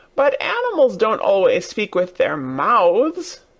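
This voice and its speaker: A fairly high-pitched, put-on character voice at a fairly slow pace. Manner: knowing, explaining.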